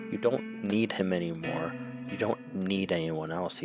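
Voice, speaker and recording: Over loud background music and hissing, a man uses a put-on character voice, fairly low in pitch, at a moderate pace. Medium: read story. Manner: mocking, sly.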